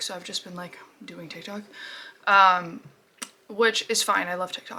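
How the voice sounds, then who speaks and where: A raspy, put-on character voice from a woman at medium pitch and a moderate pace. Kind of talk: casual, rambling.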